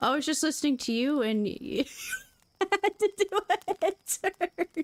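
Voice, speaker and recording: Loud and high-pitched, a woman speaks at a fairly slow pace with very wide pitch swings, in a dry, close sound with no echo. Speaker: streamer reading books aloud. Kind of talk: casual chat with live chat viewers. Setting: live stream.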